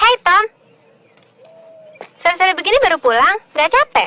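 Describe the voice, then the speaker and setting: A put-on character voice, female-sounding and extremely high-pitched, at a moderate pace. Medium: short film. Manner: light, teasing.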